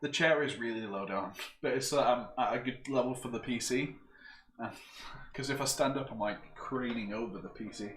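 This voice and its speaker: A man with a northern English accent and medium pitch speaks at a fairly quick pace with fairly even intonation. Noticeable background noise and audible room echo are present. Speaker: PC builder streamer. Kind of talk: casual chat. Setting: live stream.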